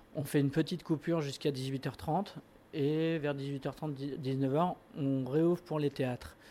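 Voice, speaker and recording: A man's fairly high, dark, mellow voice at a very slow pace with fairly even intonation. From Burgundy, France. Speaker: restaurant and deli founder. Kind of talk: interview.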